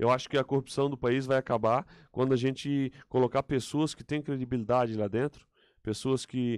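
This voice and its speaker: A man of medium pitch talks at a fairly quick pace, the sound dry with no echo and the background quiet. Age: 30s. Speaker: political candidate; candidate. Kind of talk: interview. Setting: radio studio. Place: studio. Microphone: studio mic.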